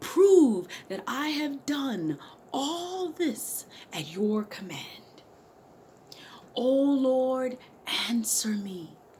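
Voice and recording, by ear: In a put-on character voice, a woman speaks very slowly at a high pitch with big pitch swings and a dark, mellow tone.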